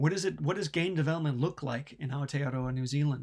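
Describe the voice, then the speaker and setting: A man with an American accent, fairly high pitch, fairly even intonation and a moderate pace. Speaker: university lecturer. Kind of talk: lecture. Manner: many fillers and hesitations.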